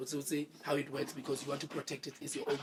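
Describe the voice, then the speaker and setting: A man speaks in a somewhat breathy voice. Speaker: podcast co-host. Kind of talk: casual interview chat.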